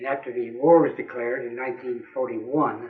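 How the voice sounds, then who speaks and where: A man with an American accent speaks at a fairly quick pace and a medium pitch. His intonation is monotone and flat, and there is audible room echo. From US Midwest, Springfield, Missouri (Ozarks). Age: 80s+. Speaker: war veteran. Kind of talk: oral history interview.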